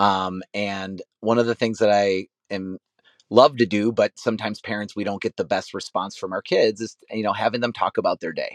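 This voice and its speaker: A man speaks in an energetic tone at a moderate pace and a fairly low pitch. The background is quiet, and the sound is dry and close with no echo. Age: 40s. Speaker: author and keynote speaker. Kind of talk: interview.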